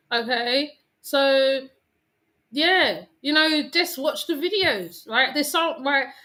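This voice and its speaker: The very clean recording has a silent background, where a woman speaks at a very slow pace. Her high pitch comes with a bright, sharp tone. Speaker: YouTuber. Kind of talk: casual monologue to viewers. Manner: calm.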